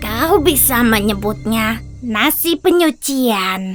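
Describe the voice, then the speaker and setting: A cartoonish, female-sounding character voice with a fairly high pitch at a very slow pace, faint music in the background. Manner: calm, terse, mysterious.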